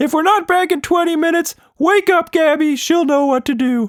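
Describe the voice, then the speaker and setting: A man puts on a squeaky character voice at an extremely high pitch, talking fairly quickly. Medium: read story.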